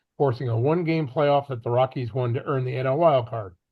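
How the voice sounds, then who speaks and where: A somewhat breathy man's voice in an American accent, medium in pitch, with ordinary pitch variation and a fairly quick pace. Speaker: sports podcast co-host. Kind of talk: interview with scripted intro.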